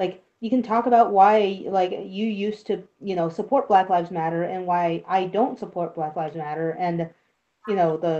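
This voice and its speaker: A woman talks at a moderate pace. Her tone is dark and mellow. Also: medium pitch for a woman, ordinary pitch variation. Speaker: streamer. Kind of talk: casual chat. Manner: stutters at times.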